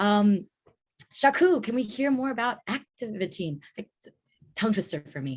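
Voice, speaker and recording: A woman speaks at a moderate pace and fairly high pitch, somewhat breathy, with very wide pitch swings. Her loudness swings a lot, and she takes long, frequent pauses. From US, Vietnamese-speaking family. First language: Vietnamese. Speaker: event host. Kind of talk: panel discussion.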